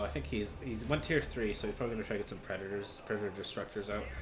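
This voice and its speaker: A man talking at a very fast pace with music in the background. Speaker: game commentator. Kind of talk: video game match commentary.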